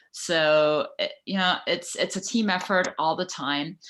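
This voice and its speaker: In a fairly slow delivery, a woman with a fairly low pitch and a bright, sharp tone talks over a quiet background. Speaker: club president. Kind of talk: meeting remarks; casual chat. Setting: video call.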